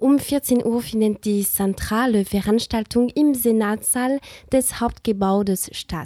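A woman with a non-native accent, fairly high pitch, and a dark, mellow tone, at a very slow pace, with ordinary pitch variation and a dry, close sound with no echo. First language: not German (speaking German). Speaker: student radio host. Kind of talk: scripted radio magazine presenting. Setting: studio.

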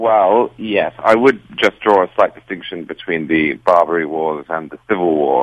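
A man with a British accent and a very deep, low pitch speaks at a moderate pace with ordinary pitch variation and hardly any pauses, in a dry, close sound with no echo. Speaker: political writer. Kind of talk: political commentary interview. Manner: formal, articulate.

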